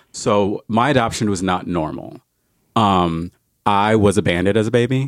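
In a very clean recording with a silent background, a man with an American accent and a normal speaking voice talks at a moderate pace, his fairly low pitch showing ordinary variation. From New Jersey, then Indiana from age twelve. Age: 30s. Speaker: podcast guest sharing life story. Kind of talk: personal testimony.

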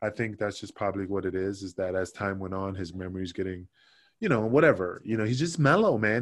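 Speaking very fast in a New York accent, this voice has ordinary pitch variation against a quiet background. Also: man. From New York, Queens. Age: 40s. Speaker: former pro wrestler. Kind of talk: casual interview.

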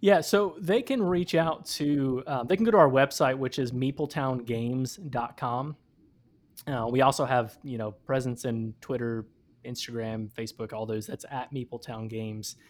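Recorded very cleanly against a silent background, a man with an American accent uses a normal speaking voice at medium pitch and a moderate pace. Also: ordinary pitch variation. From Michigan. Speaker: campus minister and board game entrepreneur. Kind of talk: casual interview.

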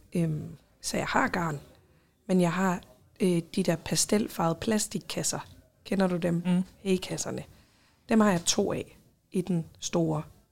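A woman speaks very slowly with vocal fry and long, frequent pauses. Her fairly low pitch stays fairly even on a very clean recording with a silent background. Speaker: podcast co-host. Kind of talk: casual chat.

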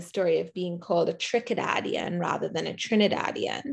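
A woman speaks at a medium pitch and a moderate pace. Her voice has vocal fry. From Trinidad. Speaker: professor. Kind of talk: academic interview.

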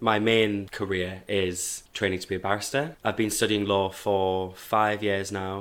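A man with a Geordie accent, fairly low pitch and monotone, flat intonation, at a fairly slow pace with hardly any pauses, on a very clean recording with a silent background. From northern England, Hebburn, South Tyneside. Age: 20s. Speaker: law student and drag performer. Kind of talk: casual chat. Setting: studio.

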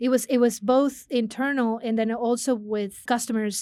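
In a Spanish accent, a woman speaks at a fairly high pitch with fairly even intonation. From Mexico, Monterrey. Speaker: business consulting executive. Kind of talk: interview.

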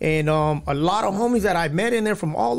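On a very clean recording with a silent background, a man with a high pitch speaks with lively intonation. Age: 30s. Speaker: former prisoner turned drug counselor. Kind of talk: testimony.

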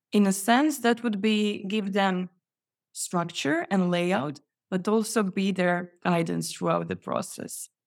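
A woman at a very slow pace with ordinary pitch variation. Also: medium pitch for a woman, very clean recording, silent background. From Croatia. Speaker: resume template business founder. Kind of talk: casual interview chat.

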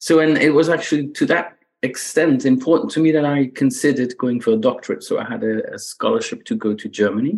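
A man's fairly high voice with a slight Belgian accent, very fast and hardly pausing, pitch swinging very widely, over a quiet background. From Belgium. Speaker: economics professor. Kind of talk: interview. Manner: halting, many repetitions.

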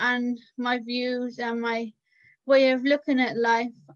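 With a Cardiff accent, a woman talks at a high pitch in monotone, flat intonation. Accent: Cardiff Welsh English. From Cardiff, Wales. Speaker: self-advocacy organisation staff member. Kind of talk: interview.

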